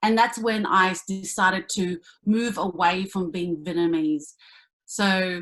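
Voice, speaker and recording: In an Australian accent, a woman speaks at a fairly slow pace with ordinary pitch variation. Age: 30s. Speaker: actor and comedian. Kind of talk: panel discussion.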